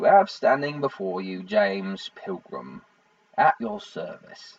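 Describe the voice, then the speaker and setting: A man's put-on character voice, fairly high-pitched and raspy, at a fairly slow pace with big swings in loudness. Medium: read story.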